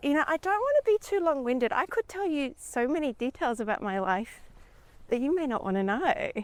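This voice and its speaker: Fairly quick speech in an Australian accent, with very wide pitch swings and a dry, close sound free of echo. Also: woman, high pitch for a woman. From Sydney, Australia. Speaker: podcast guest, hiking with the hosts. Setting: outdoors on a trail.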